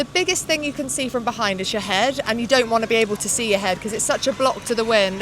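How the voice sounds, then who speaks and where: Over music in the background, a high-voiced woman speaks at a fairly quick pace. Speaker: cycling pundit. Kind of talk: casual chat. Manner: loud.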